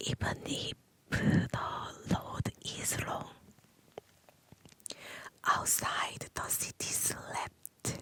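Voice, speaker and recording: A woman whispering at a very slow pace with long, frequent pauses, over noticeable background noise. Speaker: ASMR creator learning English. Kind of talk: ASMR story reading. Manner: whispered, soft, slow.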